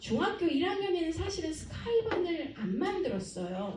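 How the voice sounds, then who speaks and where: A woman's dark, mellow tone with very wide pitch swings, a moderate pace and audible room echo. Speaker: academy director presenting to parents. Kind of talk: presentation to parents.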